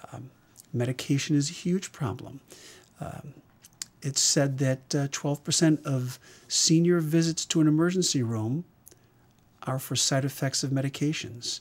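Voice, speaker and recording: Somewhat breathy male speech at a moderate pace, fairly high in pitch with ordinary pitch variation and long, frequent pauses. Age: 60s. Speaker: emergency physician. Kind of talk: interview.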